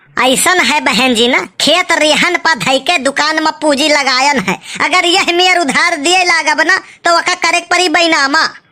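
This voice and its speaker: A woman does a cartoonish character voice at an extremely high pitch and a moderate pace. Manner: gruff, argumentative.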